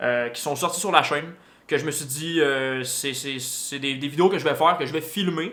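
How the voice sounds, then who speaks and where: Audible room echo surrounds a bright, sharp tone. The pitch varies in an ordinary way. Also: man, fairly high pitch for a man. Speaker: motorcycle vlogger. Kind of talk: casual vlog talk to camera. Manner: fast; hesitant with many fillers.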